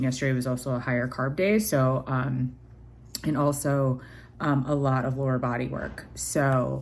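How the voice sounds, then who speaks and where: Audible room echo surrounds a voice with fairly even intonation at a moderate pace. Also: woman. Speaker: vlogger. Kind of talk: casual vlog. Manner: hesitant, many fillers.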